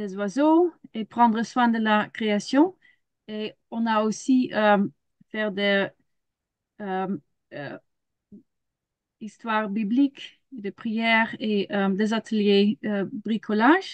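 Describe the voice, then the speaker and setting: With a Dutch accent and a fairly high pitch, a woman talks at a very slow pace with long, frequent pauses, big swings in loudness and ordinary pitch variation, in a dry, close recording with no echo. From Netherlands. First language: Dutch (speaking French). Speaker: children's ministry leader and biologist. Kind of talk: webinar presentation. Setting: video call. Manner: halting, many hesitations.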